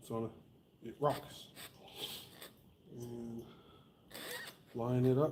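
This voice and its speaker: Monotone, flat delivery from a man at medium pitch, with noticeable background noise. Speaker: small engine mechanic hosting a repair channel. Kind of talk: live-stream repair tutorial. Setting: live stream. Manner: slow.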